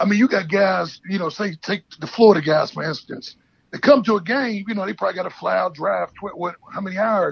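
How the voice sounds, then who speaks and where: Fairly quick male speech, high pitch for a man, ordinary pitch variation. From Pittsburgh. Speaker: former college quarterback. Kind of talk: interview.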